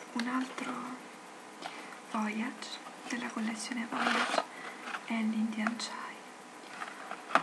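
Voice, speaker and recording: Over loud background noise, a soft-spoken woman whispers. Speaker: ASMR creator. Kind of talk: ASMR tea review talking to camera. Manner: whispered, soft-spoken. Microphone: webcam.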